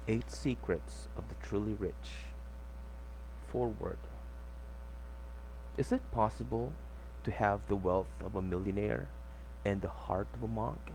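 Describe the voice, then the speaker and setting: Very deep and low, a man's dark, mellow, somewhat breathy voice moves at a fairly slow pace with lively intonation. He leaves long, frequent pauses. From Philippines. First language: not English. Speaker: book reader. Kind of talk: audiobook reading.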